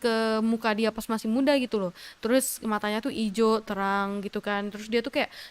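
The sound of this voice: With fairly even intonation, the speaker uses an unforced reading voice.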